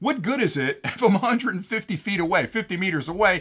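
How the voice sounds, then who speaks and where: Loud and enthusiastic, a man talks at a very fast pace in a high pitch. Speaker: tech product reviewer. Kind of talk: product review.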